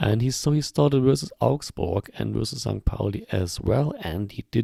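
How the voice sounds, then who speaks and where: A man with a German accent at a moderate pace, the sound dry and close with no echo. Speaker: football podcast host. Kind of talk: casual chat. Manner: hesitant, many fillers.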